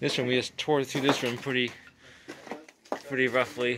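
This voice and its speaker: Over noticeable background noise, a man speaks at a fairly quick pace in a monotone, flat intonation. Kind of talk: casual vlog commentary. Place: home room. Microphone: phone near.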